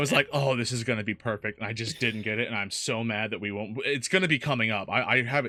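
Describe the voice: The speaker is doing plain reading aloud, with ordinary pitch variation.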